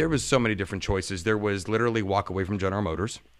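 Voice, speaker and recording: A man's fairly low-pitched voice with an American accent, very fast and with ordinary pitch variation. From US Midwest, Youngstown area, Ohio. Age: 50s. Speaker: auto worker and podcaster. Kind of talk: casual interview chat. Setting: live-streamed recording.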